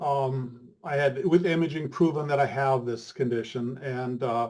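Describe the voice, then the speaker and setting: The man's voice is somewhat breathy and fairly high in pitch. His pitch varies in an ordinary way. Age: 70s. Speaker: testimonial guest. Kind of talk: testimony. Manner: halting.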